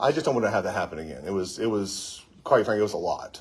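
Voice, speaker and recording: Speaking very fast with lively intonation, the man competes with noticeable background noise. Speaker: attorney and video activist. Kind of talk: live vlog, talking to camera and staff. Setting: courthouse, livestream. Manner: soft-spoken, quiet; calm.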